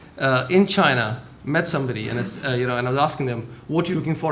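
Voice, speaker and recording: Very fast pace with ordinary pitch variation. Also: man. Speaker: government trade official. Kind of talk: panel discussion.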